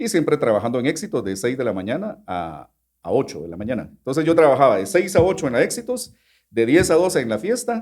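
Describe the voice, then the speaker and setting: A man speaks very fast with vocal fry. His fairly high pitch swings very widely. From Guatemala. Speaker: radio announcer. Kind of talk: interview answer. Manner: casual conversational.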